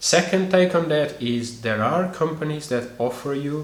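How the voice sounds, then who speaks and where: Fairly slow speech in a Portuguese accent, with lively intonation and audible room echo. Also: man. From Portugal. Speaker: YouTuber, expat life vlogger. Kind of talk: tutorial. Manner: casual with frequent hesitations.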